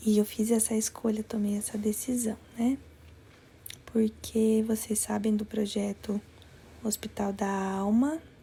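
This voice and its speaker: A soft-spoken woman with a fairly high pitch talks at a fairly slow pace in a monotone, flat intonation. Her speech has long, frequent pauses. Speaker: life coach and former nursing teacher. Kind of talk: live-stream talk to viewers. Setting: live stream from another place. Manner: soft-spoken, speaking quietly.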